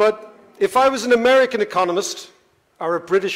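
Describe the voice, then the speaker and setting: A man with an Irish accent, at a fairly quick pace with ordinary pitch variation. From Ireland, Dublin. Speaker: economist, panel moderator. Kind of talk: panel moderation speech. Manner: animated.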